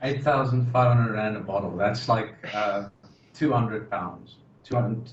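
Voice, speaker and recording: A man's medium-pitched voice with a South African accent, fairly even intonation, a moderate pace, and audible room echo. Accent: South African, noticeable. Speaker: podcast co-host. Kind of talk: casual chat.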